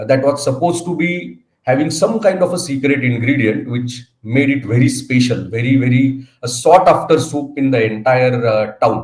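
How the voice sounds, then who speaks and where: A somewhat breathy voice with an Indian accent, ordinary pitch variation, a moderate pace and hardly any pauses. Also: man, medium pitch for a man. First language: Marathi. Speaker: speaker at training programme. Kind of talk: inaugural address. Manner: hesitant, frequent fillers.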